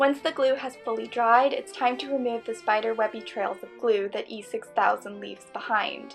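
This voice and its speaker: Over music in the background, a woman speaks at a moderate pace with hardly any pauses and big swings in loudness. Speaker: costume maker, craft tutorial creator. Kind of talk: tutorial voice-over.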